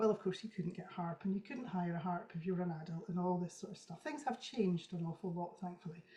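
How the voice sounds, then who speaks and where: A woman in a Scottish accent, medium-pitched with ordinary pitch variation, going at a very fast pace with hardly any pauses. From Scotland. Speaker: traditional harpist. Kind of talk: interview.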